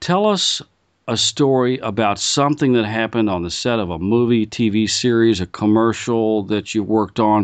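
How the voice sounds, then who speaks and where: At a moderate pace, a man with a fairly low pitch uses ordinary pitch variation in an unremarkable speaking voice. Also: quiet background. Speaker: interviewer. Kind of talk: interview questions.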